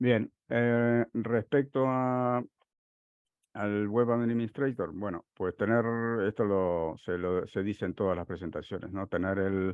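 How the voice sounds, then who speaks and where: A man with a Uruguayan accent talks at a very slow pace, with a fairly low pitch and ordinary pitch variation. The sound is dry with no echo, and the background is quiet. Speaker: software consultant; conference presenter. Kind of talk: technical conference talk. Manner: halting, many fillers. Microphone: headset.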